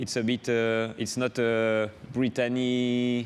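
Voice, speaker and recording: A man speaks at a medium pitch in a French accent. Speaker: offshore racing sailor. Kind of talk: interview. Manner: halting, many hesitations.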